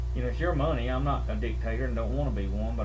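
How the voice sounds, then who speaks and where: A man's very deep, low voice in a Southern US accent, monotone and flat, at a very fast pace over noticeable background noise. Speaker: religious video blogger. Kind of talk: video blog monologue. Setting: home.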